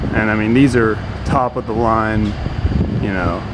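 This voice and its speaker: Speech at a moderate pace runs over loud background noise. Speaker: local tour guide. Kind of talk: casual vlog chat. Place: street. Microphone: phone near.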